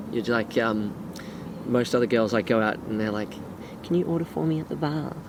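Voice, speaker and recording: A man speaks at a fairly quick pace with an Australian accent, his medium-pitched voice full of lively intonation. Long, frequent pauses break up his speech over noticeable background noise. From Gold Coast, Australia. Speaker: friend of the host. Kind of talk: casual chat.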